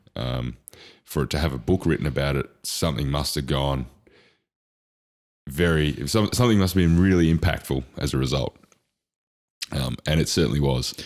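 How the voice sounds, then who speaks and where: A man speaks at a moderate pace in a very deep, low voice with vocal fry. His pitch varies in an ordinary way, and he leaves long, frequent pauses. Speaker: podcast co-host. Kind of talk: casual chat. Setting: podcast recording with headphones. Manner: loud.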